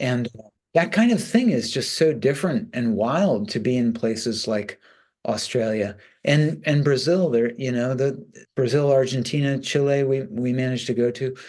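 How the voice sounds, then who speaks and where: Lively intonation and a moderate tempo from a man with an ordinary speaking voice at a medium pitch. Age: 60s. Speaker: rock bass player. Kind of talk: interview.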